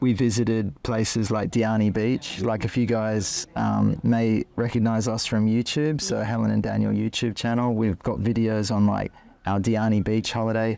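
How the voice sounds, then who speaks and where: A man with an Australian accent and a dark, mellow tone talks at a moderate pace with hardly any pauses, his pitch fairly low, his loudness very even and his intonation fairly even. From Australia, Queensland (Ipswich near Brisbane). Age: 40s. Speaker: interviewee, husband in couple. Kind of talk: interview, casual conversation. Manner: hesitant with fillers (um, like).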